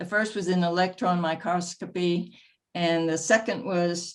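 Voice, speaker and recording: The background is quiet. A woman speaks at a moderate pace with a fairly low pitch and monotone, flat intonation. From US South. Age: 80s+. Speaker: retired doctor and former volunteer. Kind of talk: personal life story in interview.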